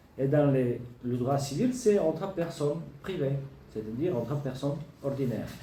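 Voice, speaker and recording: At a moderate pace with long, frequent pauses, the speech carries audible room echo and noticeable background noise. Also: man, fairly high pitch for a man, ordinary pitch variation. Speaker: law lecturer. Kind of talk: lecture. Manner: halting.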